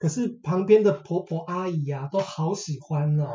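A man is speaking. His pace is moderate. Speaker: podcast guest. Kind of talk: casual chat.

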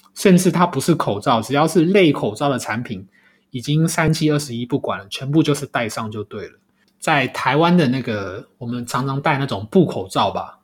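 Somewhat breathy and fairly high-pitched, a man speaks at a moderate pace with lively intonation and big swings in loudness. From Taiwan. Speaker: podcast host. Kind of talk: solo podcast commentary. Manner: hesitant, many filler sounds.

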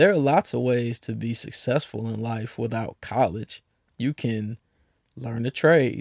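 On a very clean recording with a silent background, a man with an American accent speaks at a fairly slow pace in a plain, everyday voice with ordinary pitch variation. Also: medium pitch for a man, dry, close sound with no echo. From Cleveland, Ohio. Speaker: podcast host. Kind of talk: casual, profane solo podcast monologue. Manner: casual, blunt, profane.

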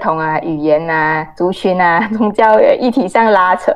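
Here is a woman with an unremarkable speaking voice at a medium pitch. Her pitch varies in an ordinary way. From Malaysia. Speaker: journalist. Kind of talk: interview.

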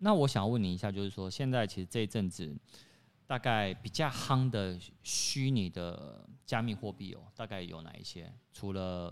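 Moderate pace, ordinary pitch variation and big swings in loudness, in a very clean recording with a silent background. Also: man. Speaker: podcast co-host. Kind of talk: casual chat.

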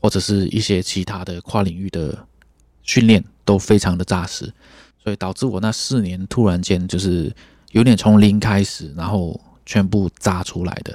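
A man speaks with fairly low pitch and a dark, mellow tone, his intonation fairly even. The recording is very clean, with a silent background. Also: moderate pace. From Malaysia. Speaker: trumpeter and music teacher. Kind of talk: interview.

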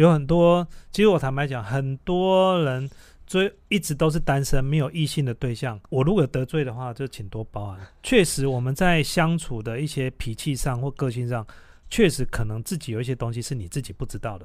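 A man speaks at a moderate pace in an ordinary speaking voice, his pitch medium and his intonation lively. His loudness swings widely, and the recording is very clean with a silent background. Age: 40s. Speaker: podcast host. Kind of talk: casual chat.

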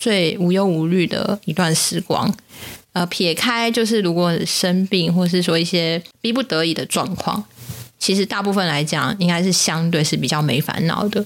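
With a Taiwanese accent, a woman speaks in a fairly low pitch with ordinary pitch variation, and noticeable background noise runs beneath her. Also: very even loudness. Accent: Taiwanese Mandarin. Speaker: podcast co-host. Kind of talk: casual chat. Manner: talkative, animated.

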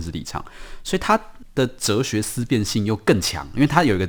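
A man with a Taiwanese accent at a very fast pace, fairly low in pitch with very wide pitch swings, on a very clean recording with a silent background. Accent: Taiwanese Mandarin. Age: young. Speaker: writer. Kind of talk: interview.

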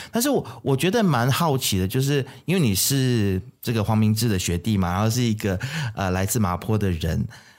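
A very clean recording with a silent background, very even loudness, lively intonation and a moderate pace. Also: man, fairly low pitch for a man. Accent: Malaysian. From Malaysia. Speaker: podcast host. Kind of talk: casual chat. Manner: animated.

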